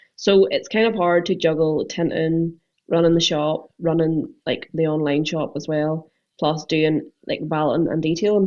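Fairly low in pitch, a woman talks with a Northern Irish accent and fairly even intonation. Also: moderate pace. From Northern Ireland. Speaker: car detailer and window tinter. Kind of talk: casual chat.

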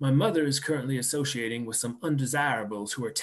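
The text comes in a natural reading voice whose pitch varies in an ordinary way.

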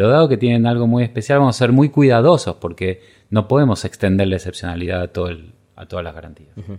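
The recording is very clean with a silent background, and the speech comes at a very fast pace. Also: man, big swings in loudness. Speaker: legal scholar. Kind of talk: interview. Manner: halting.

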